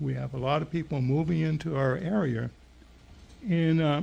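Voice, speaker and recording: Speaking at a moderate pace with an American accent, a man has a fairly high pitch, a dark, mellow tone, a somewhat breathy quality and ordinary pitch variation. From Maine, US. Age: 70s. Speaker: resident speaking at public comment. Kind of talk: public comment at town meeting. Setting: town board meeting.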